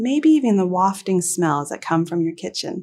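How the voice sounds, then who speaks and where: Recorded very cleanly with a silent background, a woman speaks in a calm, soothing tone. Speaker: meditation guide. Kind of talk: guided meditation. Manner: slow, calm, soothing, with long pauses.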